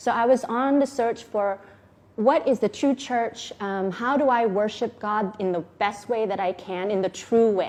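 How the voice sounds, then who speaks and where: A woman with an Oklahoma accent talks at a fairly slow pace, fairly high in pitch with ordinary variation. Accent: American, Oklahoma. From US, Enid, Oklahoma. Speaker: vlogger, model and TV actress. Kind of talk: personal testimony vlog. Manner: casual, hesitant with fillers.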